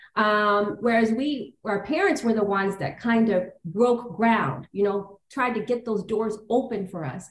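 A woman speaks in a normal speaking voice at a fairly high pitch with ordinary pitch variation. Her pace is fairly slow, yet she leaves hardly any pauses. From Toronto, Canada. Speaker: lawyer and law firm founder. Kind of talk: casual interview.

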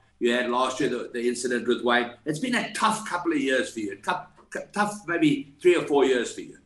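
A man with a fairly high pitch speaks at a moderate pace. Noticeable background noise runs underneath. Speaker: golf podcast co-host. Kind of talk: interview.

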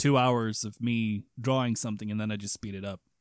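A man speaks with a Swedish accent. The sound is dry and close, with no echo. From Sweden. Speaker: podcast host. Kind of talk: casual chat.

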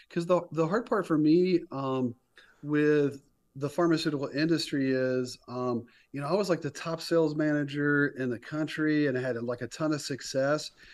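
With an American accent, a man talks in an ordinary speaking voice at a fairly high pitch, a moderate pace and ordinary pitch variation over a quiet background. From North Carolina, Raleigh-Durham area. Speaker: company founder and CEO. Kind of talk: casual interview.

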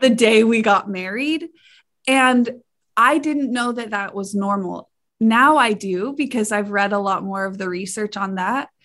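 In an American accent, a woman with an ordinary speaking voice and fairly high pitch talks at a fairly slow pace with ordinary pitch variation. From Idaho. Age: 20s. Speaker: sex educator and researcher. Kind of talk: interview.

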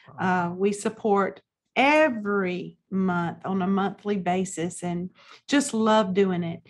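A woman with a Southern US accent speaks very slowly at a medium pitch, her pitch varying in an ordinary way. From US South, South Carolina. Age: 50s. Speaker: pastor and author. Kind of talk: interview testimony.

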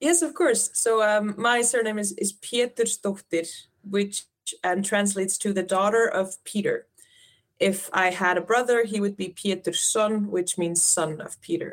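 Speaking with an Icelandic accent, a woman talks at a fairly slow pace, her medium pitch showing ordinary variation. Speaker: Icelandic tourism representative. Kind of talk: interview.

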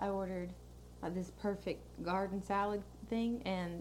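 Audible room echo surrounds a woman with an American accent. She talks at a moderate pace. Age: 20s. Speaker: podcast co-host. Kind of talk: casual chat.

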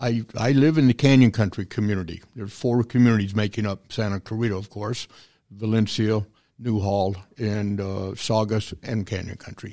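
Fairly even intonation and a dark, mellow tone with an American accent, on a very clean recording with a silent background. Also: man, fairly low pitch for a man, moderate pace. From Southern California, San Fernando Valley. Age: 70s. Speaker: retired police officer and city mayor. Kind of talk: interview.

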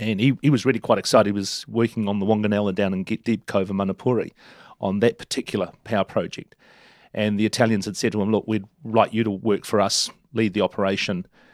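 Very fast and with fairly even intonation, a man speaks with a New Zealand accent in a very clean recording, silent in the background, dry and close with no echo. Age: 50s. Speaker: council candidate and former chamber of commerce CEO. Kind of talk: casual interview.

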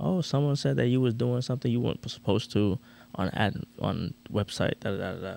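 This man has a dark, mellow tone, a fairly low pitch and an American accent. He speaks at a fairly quick pace with lively intonation. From Orlando, Florida. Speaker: podcast co-host, medical field worker. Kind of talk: casual chat.

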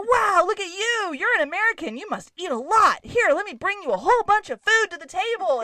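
A woman does a put-on character voice at an extremely high pitch. She talks at a fairly quick pace. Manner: warm, effusive.

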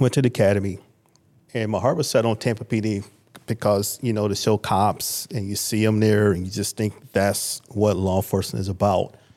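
With an American accent, a man speaks in an unremarkable speaking voice at a fairly low pitch, keeping a moderate pace and fairly even intonation. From Michigan, Lansing. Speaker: sheriff's office major. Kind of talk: casual interview.

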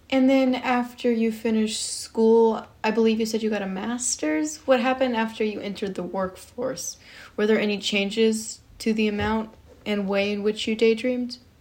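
The speaker uses a normal speaking voice, with fairly even intonation at a moderate pace. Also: woman, fairly high pitch for a woman. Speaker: podcast interviewer. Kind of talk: interview.

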